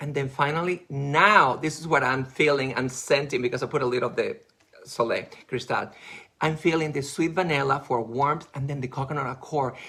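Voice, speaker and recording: A man's bright, sharp, animated voice, fairly high in pitch, at a fairly quick pace. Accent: non-native. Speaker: makeup artist. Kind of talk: live beauty product presentation.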